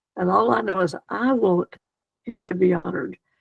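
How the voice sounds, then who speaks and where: Talking at a moderate pace, a female speaker has a Southern US accent. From US South, South Carolina countryside. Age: 80s+. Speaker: retired missionary. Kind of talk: interview. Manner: animated.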